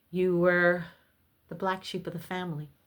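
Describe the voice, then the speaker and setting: A woman speaking at a fairly slow pace. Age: 60s. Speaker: spiritualist video host. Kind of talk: spiritual monologue to camera. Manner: halting with fillers.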